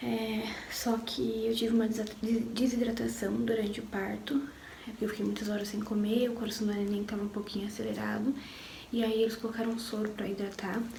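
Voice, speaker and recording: Over noticeable background noise, a woman talks fairly quickly at a fairly high pitch with monotone, flat intonation. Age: 20s. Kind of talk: personal story told to camera. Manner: casual, emotional.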